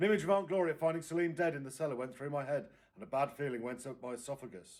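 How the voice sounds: Audible room echo surrounds a man talking fast at a medium pitch.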